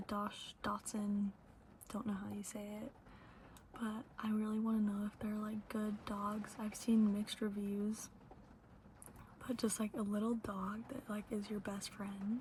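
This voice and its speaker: Soft-spoken and whispering, the speaker goes at a fairly slow pace with long, frequent pauses, over noticeable background noise. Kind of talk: ASMR Q&A ramble to camera. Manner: whispered, soft-spoken.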